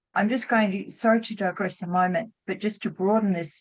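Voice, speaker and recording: A woman talks with an Australian accent. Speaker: doctor, anti-war medical association president. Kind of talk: panel discussion. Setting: video call webinar. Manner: hesitant.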